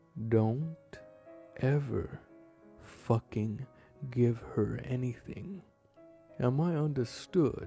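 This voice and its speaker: A growling, put-on character voice speaks at a very slow pace with long, frequent pauses, while faint music plays in the background. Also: man, medium pitch for a man. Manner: growling, menacing.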